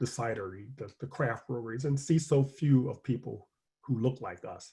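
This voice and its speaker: A man's somewhat breathy voice, dark and mellow, at medium pitch and moderate pace, with an American accent. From US South (Richmond, Virginia). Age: 60s. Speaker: newspaper columnist. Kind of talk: panel discussion Q&A. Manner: hesitant with frequent fillers and repetitions.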